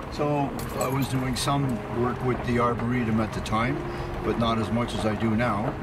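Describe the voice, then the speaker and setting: A man talks at a moderate pace, the sound dry with no echo and loud noise in the background. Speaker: community volunteer. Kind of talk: documentary interview answer. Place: street.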